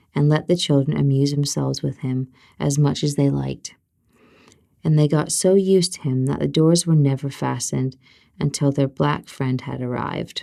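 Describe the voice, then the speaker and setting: This soft-spoken woman has a very deep, low pitch and a dark, mellow tone, talking at a moderate pace with fairly even intonation. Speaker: ASMR storyteller. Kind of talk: bedtime fairy tale reading.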